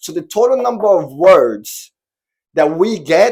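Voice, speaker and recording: A man talks in an animated tone. His pitch varies in an ordinary way. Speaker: online spiritual teacher. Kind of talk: tutorial.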